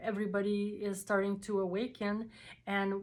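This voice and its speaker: Speaking with a non-native accent, a woman has a medium pitch. Her pace is very slow. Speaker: spiritual video creator. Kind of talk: personal testimony to camera. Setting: talking to a camera. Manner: halting, many fillers and repetitions.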